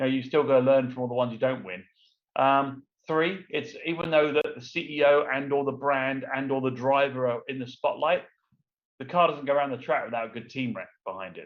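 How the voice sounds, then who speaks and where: A man with an English accent, a fairly high pitch, and ordinary pitch variation. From London, England. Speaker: entrepreneur, former race car driver. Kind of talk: interview. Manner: fast.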